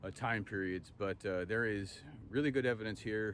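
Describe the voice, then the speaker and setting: Light background noise sits under a dry sound with no echo. The man talks at a moderate pace, pitch varying in an ordinary way. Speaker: travel host. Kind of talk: casual vlog chat. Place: open country. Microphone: phone near.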